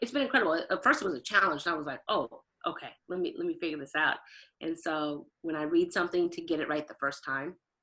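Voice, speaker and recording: Speaking very fast with lively intonation, a woman with an American accent has a bright, sharp tone. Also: fairly low pitch for a woman. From Portland, Oregon. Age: 30s. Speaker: event planner and recruiter. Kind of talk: podcast interview. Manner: fast talker.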